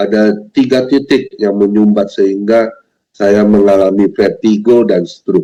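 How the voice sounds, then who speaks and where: Speaking rather slowly, a man has a dark, mellow tone. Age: 60s. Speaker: pastor. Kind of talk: sermon. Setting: video call.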